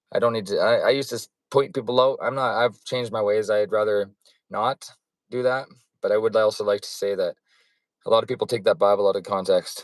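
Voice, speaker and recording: On a very clean recording with a silent background, a man with a Western Canadian accent talks at a very fast pace, the sound dry and close with no echo. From western Canada (Alberta, BC Fraser Valley). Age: 40s. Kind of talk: personal testimony monologue. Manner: rambling, jumps back and forth; halting, many fillers and restarts.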